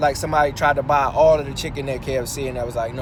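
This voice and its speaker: A man talks at a very fast pace. The room echo is audible, and background noise is noticeable. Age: young. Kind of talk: casual monologue while driving. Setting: in a car. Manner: casual, halting with many fillers.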